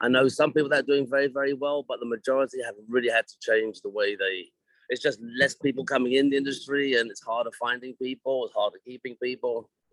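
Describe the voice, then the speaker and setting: A very fast-talking man with a medium pitch. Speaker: hairdressing educator and former salon owner. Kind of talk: interview. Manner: halting.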